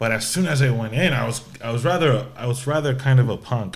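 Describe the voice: A man with vocal fry, at a fairly quick pace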